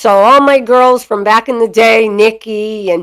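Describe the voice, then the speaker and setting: On a very clean recording with a silent background and a dry, close sound with no echo, a woman with a Boston accent speaks at a fairly high pitch and a fairly slow pace in an animated tone. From Boston area (Chelsea), Massachusetts. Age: 50s. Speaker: dog breeder and live streamer. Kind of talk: casual live stream chat. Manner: animated, over the top.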